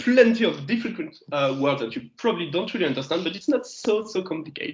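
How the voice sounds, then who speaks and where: A man speaks with a French accent. His intonation is lively. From France. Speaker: geology lecturer. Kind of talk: lecture. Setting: video call. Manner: hesitant, many fillers.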